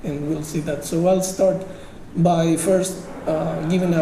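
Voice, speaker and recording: A man with a high pitch and an Uruguayan accent speaks in a monotone, flat way. Noticeable background noise and audible room echo fill the recording. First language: Spanish. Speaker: software engineer, conference speaker. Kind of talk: technical conference talk. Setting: conference stage with audience. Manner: halting, many fillers.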